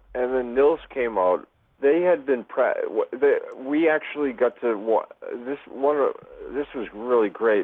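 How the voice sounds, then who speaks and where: Speaking fairly slowly in an American accent, a man has an ordinary speaking voice and ordinary pitch variation. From Boston, Massachusetts. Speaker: music fan. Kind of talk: casual chat.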